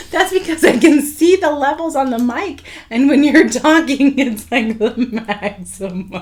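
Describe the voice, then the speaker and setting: A high-pitched woman speaks at a fairly slow pace with lively intonation over noticeable background noise. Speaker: podcast co-host. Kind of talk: casual chat. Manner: quiet.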